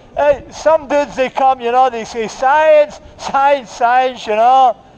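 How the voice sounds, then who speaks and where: A loud man's voice, extremely high-pitched, at a fairly slow pace with fairly even intonation. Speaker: street preacher. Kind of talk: open-air street preaching to passers-by. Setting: outdoors in a city street. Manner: loud, forceful, argumentative. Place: street.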